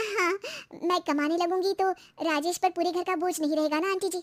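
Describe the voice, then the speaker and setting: In a cartoonish character voice, a woman speaks at a fairly quick pace with an extremely high pitch and monotone, flat intonation, the sound dry and close with no echo. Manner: chatty.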